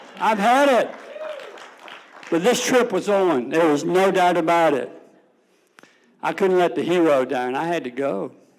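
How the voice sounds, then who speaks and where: A man with a high-pitched voice at a fairly slow pace, with long, frequent pauses, audible room echo and crowd noise in the background. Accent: slight Tidewater Virginia. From Suffolk, Virginia. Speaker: storyteller, Navy veteran. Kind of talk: personal storytelling on stage. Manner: folksy, humorous.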